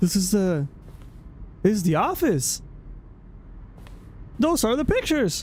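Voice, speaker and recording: Long, frequent pauses interrupt the fairly slow delivery. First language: not English. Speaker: streamer. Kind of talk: live game commentary. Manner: halting.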